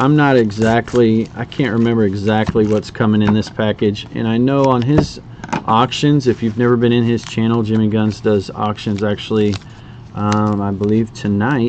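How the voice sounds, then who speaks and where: Against noticeable background noise, a man speaks in a monotone, flat intonation. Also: moderate pace. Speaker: card collector streamer. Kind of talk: casual live stream chat. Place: home room. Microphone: webcam.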